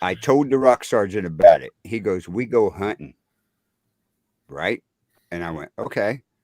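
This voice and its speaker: A man with an American accent talks at a moderate pace and fairly low pitch, his intonation lively and his loudness swinging widely. Long, frequent pauses recur in the dry, close sound with no echo. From Missouri. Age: 60s. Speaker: military veteran. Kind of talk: storytelling in casual chat. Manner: animated.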